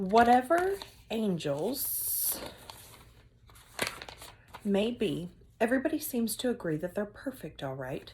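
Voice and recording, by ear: A woman's put-on character voice, medium in pitch and slightly mellow with a slightly husky edge, slow and full of long, frequent pauses and big pitch swings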